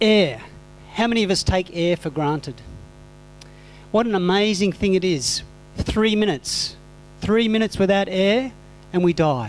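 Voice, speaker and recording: A man talks in an Australian accent at a moderate pace, high in pitch with ordinary variation. His loudness stays very even, and he takes long, frequent pauses. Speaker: composting teacher, conference speaker. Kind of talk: conference presentation. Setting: conference hall with audience.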